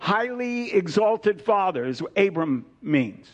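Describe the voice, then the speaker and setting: A man at a fairly slow pace with lively intonation, noticeable background noise behind him. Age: 70s. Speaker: preacher. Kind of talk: sermon. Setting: church.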